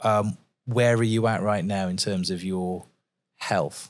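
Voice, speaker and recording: A man with a normal speaking voice, fairly slow pace and ordinary pitch variation, on a very clean recording with a silent background. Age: 50s. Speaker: podcast host. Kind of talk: podcast interview. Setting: expo lounge recording.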